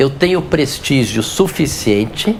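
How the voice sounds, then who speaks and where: A man is talking with audible room echo. Noticeable background noise is present. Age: 60s. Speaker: physician. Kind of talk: interview.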